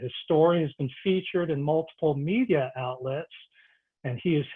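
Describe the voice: A man talks at a moderate pace. His pitch is fairly high, with ordinary variation.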